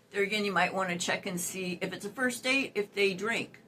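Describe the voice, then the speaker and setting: Noticeable background noise under speech with ordinary pitch variation. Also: woman. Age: 60s. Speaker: dating advice youtuber. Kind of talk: casual advice vlog. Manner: chatty, many fillers.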